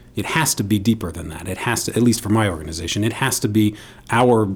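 A man with an American accent speaks very fast in a fairly low, somewhat breathy voice with ordinary pitch variation. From New York City. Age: 40s. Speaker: nonprofit CEO and former state senator. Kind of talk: radio interview. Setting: studio.

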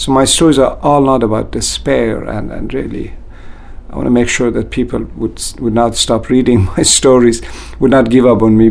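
Male speech at a moderate pace amid noticeable background noise and audible room echo. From Iran, Kurdish border town. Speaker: author and university administrator. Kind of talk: interview.

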